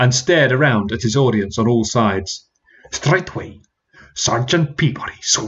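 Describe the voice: The recording has a quiet background. What you hear is plain reading aloud.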